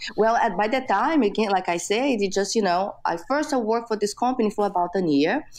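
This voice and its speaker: A woman with a Brazilian Portuguese accent at a fairly high pitch, fairly quick pace and very even loudness, with lively intonation and hardly any pauses. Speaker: entrepreneur. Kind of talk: interview. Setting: podcast interview. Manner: many fillers like you know.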